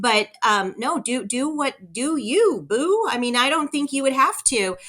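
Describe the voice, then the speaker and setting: With a Californian accent, a woman speaks fairly slowly in a high voice, her tone bright, sharp and energetic, her pitch swinging very widely. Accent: Californian American. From Southern California. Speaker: real estate broker and owner. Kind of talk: interview conversation.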